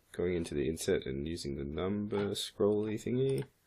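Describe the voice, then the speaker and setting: The man's lively intonation carries vocal fry, and he proceeds at a moderate pace. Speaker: 3D modeling instructor. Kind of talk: tutorial. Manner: hesitant, many fillers.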